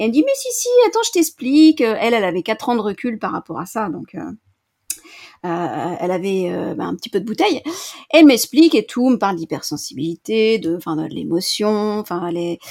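A woman with a fairly high pitch and vocal fry speaks at a moderate pace. Her pitch swings very widely and her loudness rises and falls a lot. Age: 40s. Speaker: coach, former librarian. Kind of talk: interview testimony.

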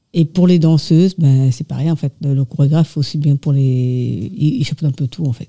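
With hardly any pauses, a woman speaks at a moderate pace in a very deep, low, somewhat breathy voice with a dark, mellow tone, and the sound is dry and close with no echo. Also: ordinary pitch variation. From Mauritius. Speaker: dancer and association treasurer. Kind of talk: radio interview.

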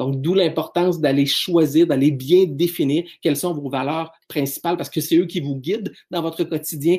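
In a Quebec accent, a man speaks at a moderate pace with a fairly high pitch, a dark, mellow tone and ordinary pitch variation. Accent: Québécois French. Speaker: business speaker and trainer. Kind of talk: solo podcast talk.

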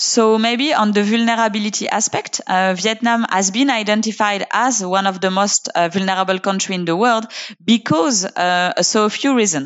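A woman with a French accent, at a moderate pace. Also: medium pitch for a woman, ordinary pitch variation. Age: 30s. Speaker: UN climate and circular economy officer. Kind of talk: interview.

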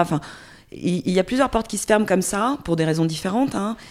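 A woman's lively intonation rings out on a very clean recording with a silent background. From Corsica (Porto-Vecchio). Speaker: journalist and podcaster. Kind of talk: casual interview chat. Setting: in-person at guest's home.

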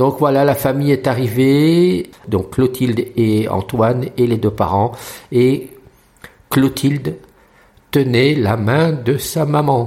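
Speaking at a very slow pace, a man leaves long, frequent pauses. His medium pitch shows ordinary variation. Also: very even loudness. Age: 60s. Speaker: blind guide dog user. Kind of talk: recorded voice memo diary.

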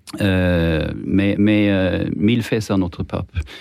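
A man with a fairly low pitch. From Sweden. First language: Swedish (speaking French). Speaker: journalist. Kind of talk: radio panel debate. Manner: halting, many repetitions.

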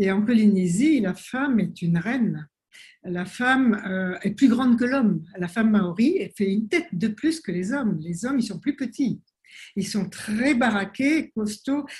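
Somewhat breathy, a woman speaks at a fairly slow pace with a fairly high pitch and lively intonation. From French Polynesia (Tahiti). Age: 70s. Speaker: naturopath and author. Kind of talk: interview. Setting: video call.

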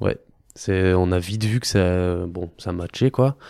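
At a very slow pace, a dark, mellow tone carries ordinary pitch variation on a very clean recording with a silent background. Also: man. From Normandy, France (Caen). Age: 30s. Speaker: sports physician. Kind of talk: casual interview. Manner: halting.

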